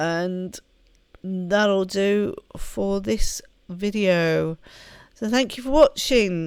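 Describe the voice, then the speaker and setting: A woman with a medium pitch speaks at a very slow pace, leaving long, frequent pauses, with ordinary pitch variation. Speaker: gaming video creator. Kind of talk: let's play commentary.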